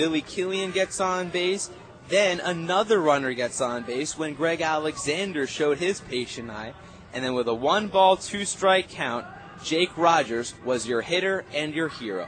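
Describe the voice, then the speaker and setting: Over noticeable background noise, a man speaks at a moderate pace in an excited, energetic tone with lively intonation. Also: fairly high pitch for a man. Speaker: radio play-by-play announcer. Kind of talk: sports radio postgame recap.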